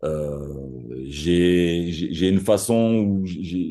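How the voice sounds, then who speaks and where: A man speaks with a strong Marseille accent. His pitch is very deep and low, and his tone dark and mellow. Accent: thick Marseille. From Marseille, southern France. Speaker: copywriter. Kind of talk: podcast interview. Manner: halting, many repetitions and fillers; animated.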